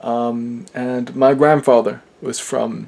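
In a monotone with flat intonation, a man is talking. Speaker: dialect enthusiast. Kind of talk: casual talk to camera. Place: home room. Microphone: webcam.

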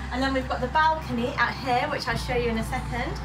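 A woman talks while noticeable background noise carries on behind her. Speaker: travel vlogger. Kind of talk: casual vlog chat. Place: home room. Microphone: phone near.

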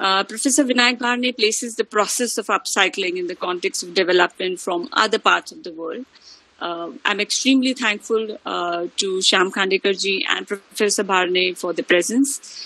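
With an Indian accent, the speaker moves at a moderate pace with ordinary pitch variation and big swings in loudness, in a dry sound with no echo. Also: woman, medium pitch for a woman. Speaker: head of department, professor. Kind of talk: welcome address. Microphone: video call.

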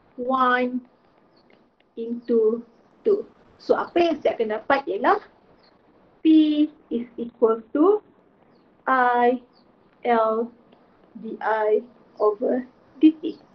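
A woman in a Malaysian accent, high-pitched with lively intonation, at a very slow pace with long, frequent pauses. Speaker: physics teacher. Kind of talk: lecture. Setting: online class. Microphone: webcam.

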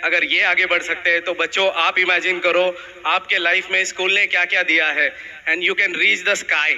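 Pitched high, a man speaks in a flat monotone. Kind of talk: stage speech to audience. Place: hall. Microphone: handheld.

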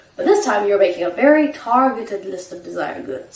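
A woman talks over noticeable background noise. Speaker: economics vlogger. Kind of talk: casual talk to camera.

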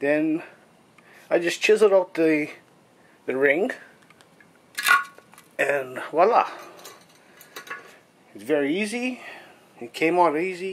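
A man with a high pitch speaks at a very slow pace, leaving long, frequent pauses. His intonation is lively, his loudness swings widely, and light background noise is present. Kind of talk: tutorial. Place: home room. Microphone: phone near.

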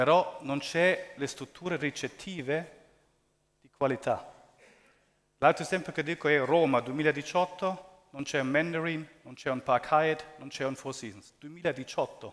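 A man with a non-native accent speaks at a very slow pace and a fairly high pitch. His intonation is fairly even, but his loudness swings a lot. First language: not Italian (speaking Italian). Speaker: real estate investment executive. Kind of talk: conference presentation. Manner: halting. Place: hall. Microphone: headset.

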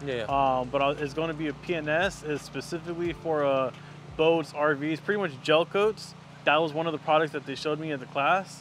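Light background noise is present, and the sound is dry with no echo. A man speaks at a moderate pace with fairly even intonation. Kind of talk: interview answer. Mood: relaxed, friendly. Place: street. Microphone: lapel.

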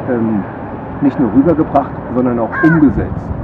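A man speaks with ordinary pitch variation over loud background noise. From Germany. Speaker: resort guest; guest. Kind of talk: testimonial. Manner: halting, many fillers. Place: garden.

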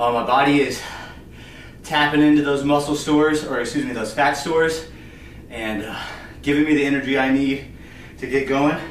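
In a room with audible echo and light background noise, a man speaks at a moderate pace with fairly even intonation and long, frequent pauses. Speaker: fitness coach. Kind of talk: workout tutorial. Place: empty room. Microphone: camera far.

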